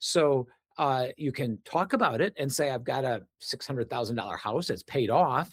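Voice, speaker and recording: A man with an American accent uses a normal speaking voice, fairly high in pitch, at a moderate pace. The sound is dry and close, with no echo. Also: very clean recording, silent background. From US Midwest, Wisconsin. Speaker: reverse mortgage specialist and author. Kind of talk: interview.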